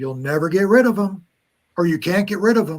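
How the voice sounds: A man puts on a character voice at a high pitch, talking at a fairly quick pace with lively intonation.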